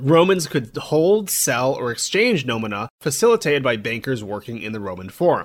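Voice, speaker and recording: Over a very clean recording with a silent background, a man speaks at a moderate pace with hardly any pauses, his medium-pitched voice swinging very widely. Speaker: podcast co-host. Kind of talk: casual chat, news roundup.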